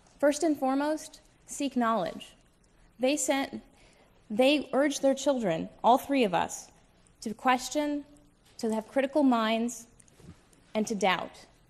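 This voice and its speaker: At a very slow pace, a speaker with a Midwestern accent leaves long, frequent pauses, the pitch varying in an ordinary way. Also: woman, high pitch for a woman. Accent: American Midwest. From US Midwest, Toledo, Ohio. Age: young. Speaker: debater. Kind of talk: formal debate opening statement. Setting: stage with audience.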